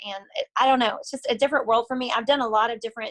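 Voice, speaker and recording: The woman's intonation is fairly even, and the sound is dry and close with no echo. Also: quiet background. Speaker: sales rep and fitness instructor. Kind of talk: casual talk on group call. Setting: group call. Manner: fast.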